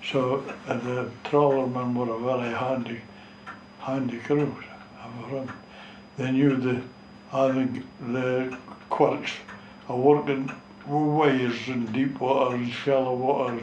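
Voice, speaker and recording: With a strong North East Scottish accent, a man at a medium pitch speaks very slowly in monotone, flat intonation, pausing long and often, amid light background noise and audible room echo. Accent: North East Scots dialect, strong. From North East Scotland, Gourdon; Scotland. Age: 90s. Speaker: retired fishing skipper. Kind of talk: oral history interview. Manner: halting. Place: home room.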